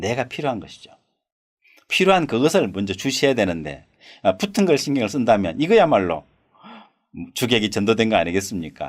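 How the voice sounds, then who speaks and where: At a moderate pace, a man talks with very wide pitch swings. Vocal fry runs through his voice. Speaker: saju astrology teacher. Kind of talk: lecture. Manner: rhetorical questions, conversational.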